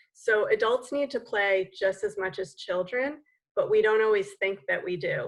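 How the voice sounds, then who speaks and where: A woman speaks at a moderate pace in an unremarkable speaking voice with ordinary pitch variation. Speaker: nonprofit program leader, conference presenter. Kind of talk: conference presentation.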